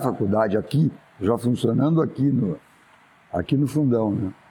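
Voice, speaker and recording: A man's pitch swings very widely as he speaks at a fairly slow pace. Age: 70s. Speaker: architect. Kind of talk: oral history interview. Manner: casual, with hesitations and fillers.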